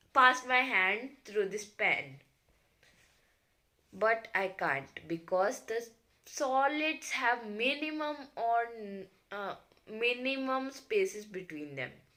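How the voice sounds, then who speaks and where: In a room with audible echo, a woman speaks very slowly, leaving long, frequent pauses. Her fairly high voice has a bright, sharp tone and very wide pitch swings. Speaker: science teacher. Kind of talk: lecture. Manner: halting, with many fillers.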